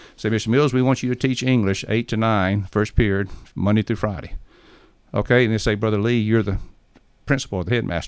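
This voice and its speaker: Talking very fast at a fairly low pitch, a man with an Alabama accent keeps a fairly even intonation on a very clean recording with a silent background. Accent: US Southern (Alabama). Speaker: missionary. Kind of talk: interview.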